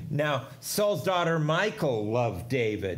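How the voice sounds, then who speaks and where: A man is speaking. His pace is fairly slow. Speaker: pastor. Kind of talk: sermon scripture reading. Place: church.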